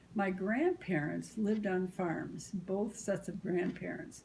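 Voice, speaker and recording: A woman with an American accent speaks at a fairly slow pace and medium pitch. Her voice shows vocal fry and ordinary pitch variation. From US Midwest, small-town Illinois. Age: 70s. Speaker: grandmother interviewed about family history. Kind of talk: oral history interview. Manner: hesitant fillers.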